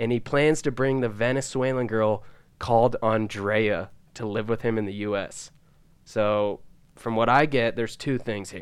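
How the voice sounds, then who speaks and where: A normal speaking voice from a man, with medium pitch, fairly even intonation and a moderate pace. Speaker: podcast co-host. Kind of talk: casual banter podcast chat. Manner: joking, laid-back.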